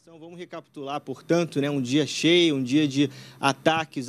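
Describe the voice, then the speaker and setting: Fairly even intonation comes from a man who talks at a fairly slow speed. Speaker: TV news reporter. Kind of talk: live news reporting, newsreading. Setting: live TV report from Brasília. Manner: formal, steady, brisk. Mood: serious, urgent. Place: street. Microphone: handheld.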